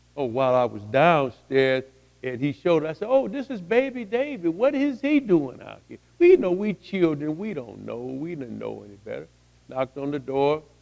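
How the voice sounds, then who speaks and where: A man at a moderate pace, big swings in loudness, music in the background. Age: 60s. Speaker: testimony speaker. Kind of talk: testimony. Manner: halting.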